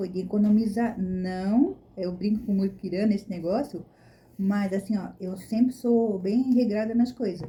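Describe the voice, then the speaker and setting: Her tone is dark and mellow, somewhat breathy. The woman speaks at a fairly slow pace. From Brazil. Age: 60s. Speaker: vlogger. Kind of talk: casual chat.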